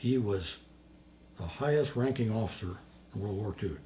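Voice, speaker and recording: A man with a dark, mellow tone and a fairly low pitch speaks at a moderate pace, somewhat breathy, with lively intonation. Audible room echo surrounds his voice. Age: 80s+. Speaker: war veteran. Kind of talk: interview storytelling.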